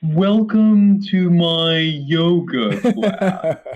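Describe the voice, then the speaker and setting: A man puts on a character voice. His pitch runs high. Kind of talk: made-up yogi voice. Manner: over-exaggerated, soothing, fake.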